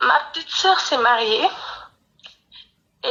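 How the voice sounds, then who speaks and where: A woman talks at a fairly slow pace, her intonation lively. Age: 20s. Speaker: caller. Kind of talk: testimony. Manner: halting.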